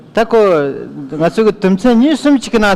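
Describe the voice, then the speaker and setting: Very wide pitch swings from a man, set against noticeable background noise. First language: Tibetan. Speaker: interpreter. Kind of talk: live interpreting.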